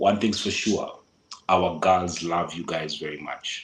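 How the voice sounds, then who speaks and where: Speaking with a Kenyan accent, a man talks at a fairly slow pace in a very deep, low pitch. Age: 40s. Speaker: local guide giving travel advice. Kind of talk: podcast interview.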